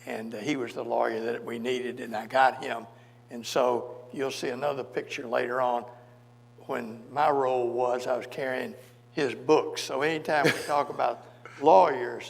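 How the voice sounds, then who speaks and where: A medium-pitched man with a Memphis accent, fairly even intonation and a moderate pace, in a room with audible echo. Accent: Southern US (Memphis). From US South, Memphis, Tennessee. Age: 80s+. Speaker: civil rights lawyer. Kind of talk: onstage interview, storytelling.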